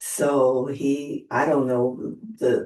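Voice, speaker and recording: This woman speaks with a very deep, low pitch. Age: 80s+. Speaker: widow sharing her story. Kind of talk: interview testimony. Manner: halting.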